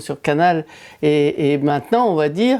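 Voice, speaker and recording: On a very clean recording with a silent background, a woman with a dark, mellow tone speaks at a moderate pace with lively intonation. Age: 70s. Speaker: senior gamer presenter. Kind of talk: interview.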